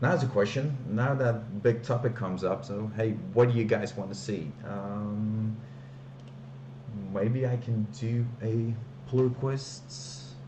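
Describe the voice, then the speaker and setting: A man with a non-native accent and medium pitch speaks at a very slow pace with lively intonation. Noticeable background noise and audible room echo fill the recording. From Belgium, Flanders. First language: Dutch. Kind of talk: live stream, casual chat. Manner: hesitant, many fillers.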